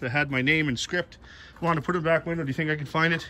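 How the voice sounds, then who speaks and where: A man's high, bright, sharp voice with fairly even intonation. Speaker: car hobbyist vlogger. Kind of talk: casual vlog chat. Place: street. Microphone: phone near.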